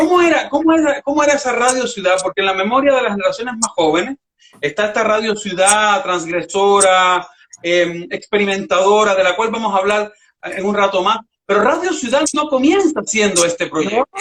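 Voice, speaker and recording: This man talks at a fairly quick pace in a high pitch, his intonation lively. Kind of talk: podcast interview host.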